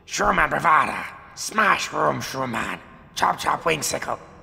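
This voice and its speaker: A man's raspy, put-on character voice at a medium pitch. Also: moderate pace. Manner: aggressive, threatening.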